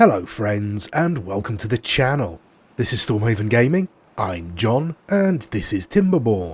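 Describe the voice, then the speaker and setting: On a very clean recording with a silent background, a man's somewhat breathy, medium-pitched voice moves at a fairly slow pace through very wide pitch swings. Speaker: gaming youtuber. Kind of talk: let's play commentary. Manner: hesitant, many fillers.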